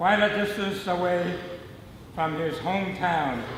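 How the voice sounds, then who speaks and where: A man with an American accent and a high-pitched voice, very slow pace and ordinary pitch variation, with audible room echo and noticeable background noise. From US West Coast, Los Angeles area. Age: 80s+. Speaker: birthday honoree telling life story. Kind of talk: personal memoir speech.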